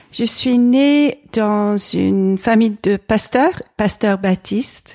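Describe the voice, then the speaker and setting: A woman speaks very slowly with ordinary pitch variation, recorded very cleanly against a silent background in a dry, close sound with no echo. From England. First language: English (speaking French). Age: 40s. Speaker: environmental association president and pastor's wife. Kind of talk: interview conversation. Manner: hesitant, frequent repetitions.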